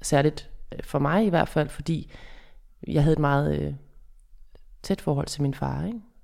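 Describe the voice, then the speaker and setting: Pausing long and often, the woman moves at a fairly slow pace. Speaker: psychologist and author. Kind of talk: interview. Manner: clear, distinct articulation.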